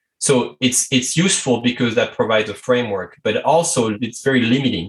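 A man with a French accent at a moderate pace. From France. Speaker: strategy consultant and coach. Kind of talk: interview conversation.

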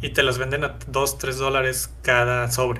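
Audible room echo surrounds a voice with a Mexican accent. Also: man. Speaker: gaming podcast co-host. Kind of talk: casual chat.

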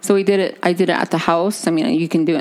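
Very fast speech with fairly even intonation plays over noticeable background noise. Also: woman. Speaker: podcast co-host. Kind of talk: casual chat. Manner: chatty, talkative.

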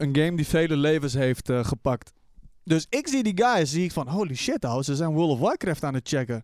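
A man speaks in a plain, everyday voice at a fairly high pitch and a moderate pace. The recording is very clean with a silent background, dry and close with no echo. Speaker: streamer and podcast co-host. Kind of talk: casual chat. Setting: studio.

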